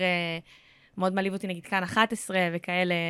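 A woman at medium pitch, moderate pace, a normal speaking voice. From central Israel (near Rehovot). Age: 30s. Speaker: actress and content creator. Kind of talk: casual chat.

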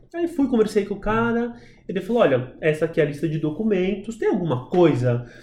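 A man speaks in a high voice with a dark, mellow tone. He moves at a fairly quick pace with lively intonation. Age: 30s. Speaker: adoptive father, actor by training. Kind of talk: casual interview chat.

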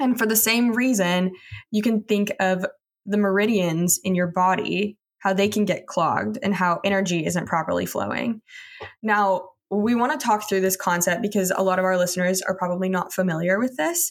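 A woman's plain, everyday voice with an American accent, medium in pitch, with ordinary pitch variation, very even loudness and a moderate pace, in a very clean recording with a silent background. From Texas. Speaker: podcast co-host, student. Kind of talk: interview.

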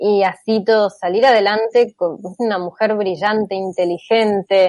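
Very slow in pace, a woman speaks at a medium pitch with a dark, mellow tone. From Argentina. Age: 40s. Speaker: theoretical computer scientist and author. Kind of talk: interview.

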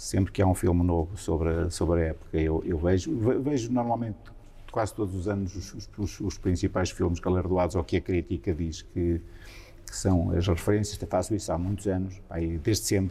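Speaking at a moderate pace, a man with a very deep, low pitch and a dark, mellow tone sounds somewhat breathy, with ordinary pitch variation. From Portugal, Santa Comba Dão (Viseu district, central Portugal). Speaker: member of parliament. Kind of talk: interview.

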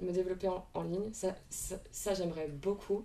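A woman's dark, mellow, medium-pitched voice with fairly even intonation. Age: 20s. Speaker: equine ethologist and riding instructor. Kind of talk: interview.

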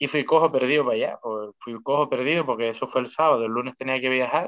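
A man with an unremarkable speaking voice, moderate pace and ordinary pitch variation. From Canary Islands, La Palma. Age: 20s. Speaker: professional MMA fighter. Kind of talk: casual interview chat.

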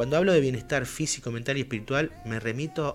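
There is music in the background. A man at medium pitch talks at a fairly quick pace. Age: 30s. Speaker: cannabis grower and club spokesperson. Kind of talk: radio interview. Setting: studio.

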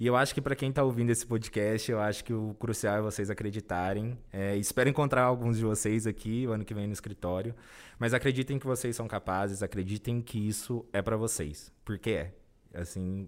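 A man's normal speaking voice at a fairly low pitch, fairly quick pace and fairly even intonation, on a very clean recording with a silent background. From interior of São Paulo state, Brazil. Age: 20s. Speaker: corporate trainee. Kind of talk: interview.

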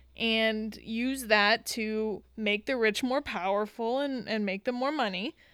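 A normal speaking voice at a fairly slow pace, fairly even in intonation, on a very clean recording with a silent background. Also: woman, fairly high pitch for a woman, hardly any pauses. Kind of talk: casual chat.

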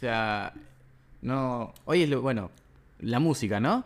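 A man speaks with a Rioplatense accent. His intonation is lively. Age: 20s. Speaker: podcast host. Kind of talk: interview.

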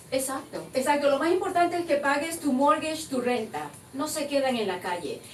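Lively intonation at a moderate pace, with noticeable background noise and audible room echo. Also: woman, high pitch for a woman. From Venezuela, Maracaibo. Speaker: insurance agent. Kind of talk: interview. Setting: studio.

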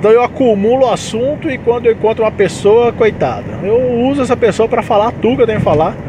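A man talks at a very fast pace with hardly any pauses, his pitch extremely high and his pitch variation ordinary, over noticeable background noise. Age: 30s. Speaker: podcast host, aspiring comedian and musician. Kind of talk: casual solo monologue. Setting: in a car, driving. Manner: talkative.

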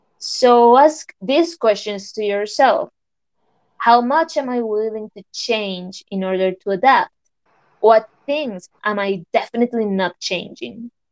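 Speaking at a fairly slow pace with a Spanish accent, a woman uses a fairly high pitch with ordinary variation, and the sound is dry and close with no echo. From Colombia. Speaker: podcast co-host. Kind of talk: casual chat. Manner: scripted-sounding, slightly formal.

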